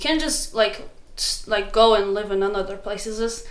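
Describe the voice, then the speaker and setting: Noticeable background noise and audible room echo surround a speaking woman. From Morocco, Casablanca. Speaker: student. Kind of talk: casual interview.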